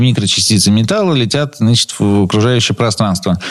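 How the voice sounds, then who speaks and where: Noticeable background noise is present throughout. Over it, a man talks at a moderate pace. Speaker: automotive product training director. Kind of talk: radio talk show interview. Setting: radio studio.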